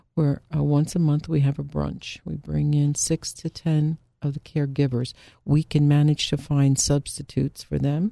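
A woman with an American accent, a very deep, low pitch and a dark, mellow tone, at a moderate pace with fairly even intonation, in a dry, close sound with no echo. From Philadelphia, Germantown Mount Airy. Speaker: social worker and care management business owner. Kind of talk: radio interview. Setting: radio studio.

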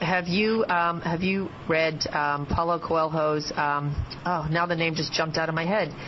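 A normal speaking voice, a woman's at fairly low pitch, fairly slow, with fairly even intonation and very even loudness. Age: 50s. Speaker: surgeon and guest radio host. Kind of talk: radio interview. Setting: radio studio.

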